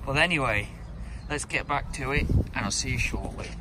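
A man is speaking. The sound is dry with no echo, and the background noise is loud. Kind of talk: casual vlog chat. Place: open country. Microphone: phone near.

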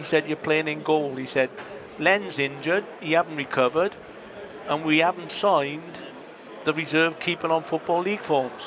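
With fairly even intonation, a man talks over noticeable background noise in a dry sound with no echo. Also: fairly high pitch for a man, moderate pace. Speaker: former footballer; former footballer guest on match commentary. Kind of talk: casual chat. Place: stadium. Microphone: headset.

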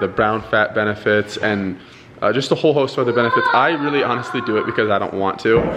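Light background noise sits under the recording. Over it, a man talks. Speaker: family vlogger. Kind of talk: casual vlog chat. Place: kitchen. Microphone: phone near.

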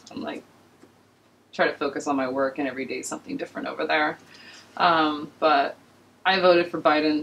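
Over light background noise, a woman talks fairly quickly in a very deep, low voice with lively intonation. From Los Angeles. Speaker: podcast guest. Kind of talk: casual chat. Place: studio.

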